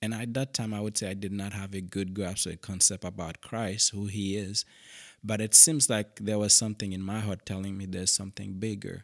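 In a Haitian accent, a man talks at a fairly quick pace with a fairly low pitch and flat, monotone intonation. The sound is dry and close with no echo, on a very clean recording with a silent background. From Haiti, Cap-Haïtien. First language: Haitian Creole. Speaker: missionary pastor. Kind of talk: interview.

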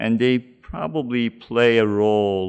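This is a man speaking. His pace is very slow. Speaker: researcher. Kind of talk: interview.

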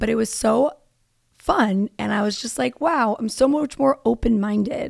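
A woman speaks in an animated tone with ordinary pitch variation. Vocal fry runs through her voice. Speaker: podcast host. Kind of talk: casual monologue.

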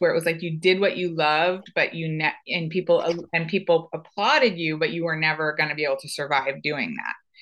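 Her voice is a plain, everyday voice, with a fairly low pitch and fairly even intonation. The woman keeps a moderate pace over a quiet background. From United States. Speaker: circus and dance company artistic director. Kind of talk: casual conversation.

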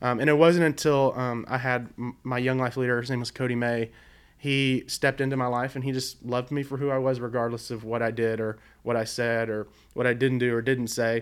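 In a very clean recording with a silent background, a man with an American accent talks at a fairly quick pace, medium-pitched and with monotone, flat intonation. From Virginia (Blacksburg), early childhood in southeast Arkansas. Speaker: youth ministry leader. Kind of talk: casual chat. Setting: studio.

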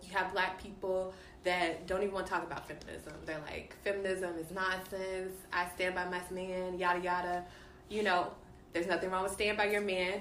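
A woman with an American accent speaks at medium pitch and a moderate pace, her intonation monotone and flat, with audible room echo. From Dallas, Texas. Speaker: guest. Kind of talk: casual chat.

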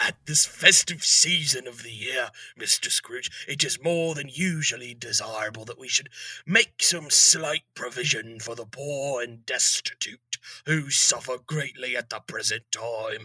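Raspy put-on character voice of a man, moderate in pace, with big swings in loudness and a dry, close sound free of echo. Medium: audio drama. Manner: polite, formal.

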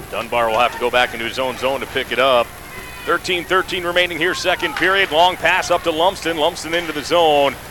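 Noticeable background noise sits under a man's high-pitched voice. He talks at a fairly quick pace with ordinary pitch variation. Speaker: radio play-by-play announcer. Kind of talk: live commentary. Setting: radio broadcast from arena. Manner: rapid-fire, fluent play-by-play; animated, steady, energetic.

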